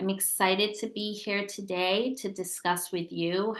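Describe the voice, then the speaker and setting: A normal speaking voice from a woman with an American accent, medium pitch and a fairly slow pace. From United States. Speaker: tech company founder. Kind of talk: webinar presentation.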